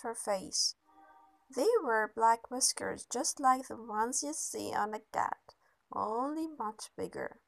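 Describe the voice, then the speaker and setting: Music plays behind a woman who speaks very slowly at a high pitch with ordinary pitch variation. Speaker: reader of a children's book. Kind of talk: audiobook reading. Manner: animated, storytelling delivery with building suspense and comic emphasis. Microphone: phone near.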